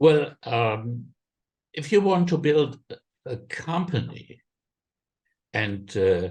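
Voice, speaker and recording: A somewhat breathy man with a German accent, fairly high in pitch, very slow, with very wide pitch swings and long, frequent pauses. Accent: German, non-native English. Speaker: impact investment fundraiser. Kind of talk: podcast interview. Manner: halting, many fillers.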